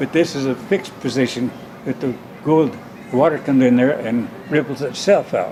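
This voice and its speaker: There is noticeable background noise behind a man with a fairly high pitch. His speech has long, frequent pauses. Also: ordinary pitch variation, moderate pace. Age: 90s. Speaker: inventor, nuclear scientist, war veteran. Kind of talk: interview answer.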